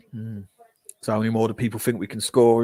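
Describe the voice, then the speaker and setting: This is a man speaking with a Geordie accent. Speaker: football fan streamer. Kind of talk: live match watch-along commentary. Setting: live stream. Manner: animated.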